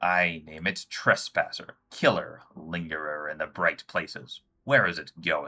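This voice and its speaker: A man puts on a character voice. He goes at a fairly slow pace. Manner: clicking, peculiar.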